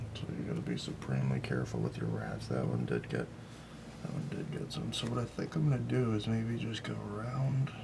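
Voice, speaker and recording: Soft-spoken and mumbling, a man talks at a fairly quick pace amid noticeable background noise and audible room echo. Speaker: clay sculptor. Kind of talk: tutorial.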